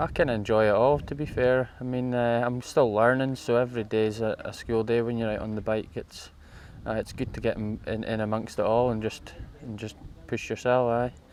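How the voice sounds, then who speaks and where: Fairly quick and monotone, with flat intonation, the voice comes in a northeast Scottish accent. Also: man, medium pitch for a man. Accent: Scottish (north-east). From Scotland, Moray coast. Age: 30s. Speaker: amateur enduro rider. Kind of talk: interview. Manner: halting.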